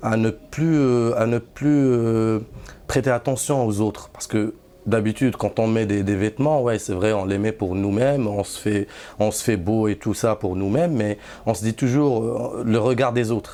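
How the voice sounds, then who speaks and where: Over noticeable background noise, a man with a Moroccan accent speaks at a fairly slow pace with fairly even intonation. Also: medium pitch for a man. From Morocco. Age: 30s. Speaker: Sufi disciple. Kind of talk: testimony. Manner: halting, many hesitations and repeats.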